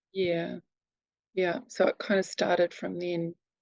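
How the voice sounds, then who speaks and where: A woman with a New Zealand accent, very slow and monotone with flat intonation, fairly low in pitch, in a dry, close sound with no echo and a quiet background. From New Zealand, near Wellington. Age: 60s. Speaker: abuse survivor and advocate. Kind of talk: testimony. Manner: halting.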